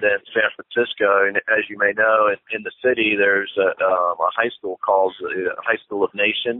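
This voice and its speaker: Against a quiet background, a man talks at a moderate pace with hardly any pauses, the sound dry with no echo. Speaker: church planter. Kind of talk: interview answer. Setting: phone line. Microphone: phone line.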